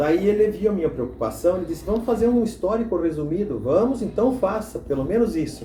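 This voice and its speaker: Against noticeable background noise, a man with a high voice talks with lively intonation and hardly any pauses. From southern Brazil, Santa Catarina. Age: 70s. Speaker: former mayor and local historian. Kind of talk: documentary interview. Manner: halting, with frequent repetitions.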